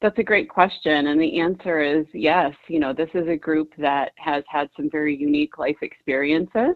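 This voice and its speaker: A woman speaks in a very deep, low pitch at a moderate pace. She takes hardly any pauses. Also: ordinary pitch variation. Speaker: nonprofit executive director. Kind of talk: radio interview.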